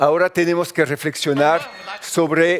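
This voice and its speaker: A man talks fairly slowly in a French accent. His pitch is fairly high and his intonation is monotone and flat. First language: French (speaking Spanish). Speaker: journalist. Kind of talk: conference talk. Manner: halting.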